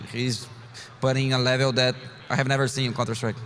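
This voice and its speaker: A man speaks with a Portuguese accent at a medium pitch. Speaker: professional esports player. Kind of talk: interview.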